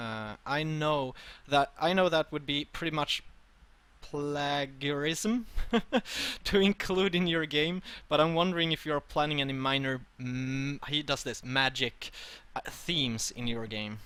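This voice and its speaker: A man with a non-native accent speaks in a fairly high, bright, sharp voice with ordinary pitch variation. His pace is fairly slow, and the recording is very clean with a silent background. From Sweden. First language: Swedish. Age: 20s. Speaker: streamer and interviewer. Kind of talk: interview. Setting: live stream interview. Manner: halting.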